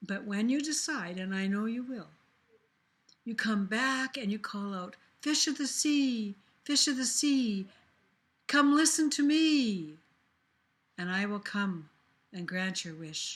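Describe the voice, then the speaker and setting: Putting on a character voice, a woman speaks at a fairly high pitch and a fairly slow pace, with long, frequent pauses. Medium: read story.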